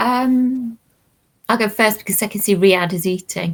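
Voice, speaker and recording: A woman speaks in a Liverpool accent with a fairly high pitch. Her voice is somewhat breathy, with ordinary pitch variation. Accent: Liverpool (Scouse). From Liverpool, England. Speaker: academic discussing working-class education. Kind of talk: casual panel chat.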